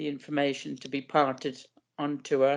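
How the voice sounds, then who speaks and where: Speaking at a fairly slow pace, a woman with an Irish accent has a very deep, low pitch. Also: quiet background. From west of Ireland, County Leitrim. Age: 70s. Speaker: podcast guest with a rare eye condition. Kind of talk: interview. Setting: podcast.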